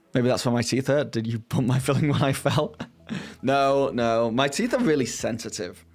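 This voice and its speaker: A man with a British accent speaks at medium pitch and a moderate pace. His loudness stays very even, and his pitch varies in an ordinary way. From Britain. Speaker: streamer. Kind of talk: casual chat. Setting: live stream.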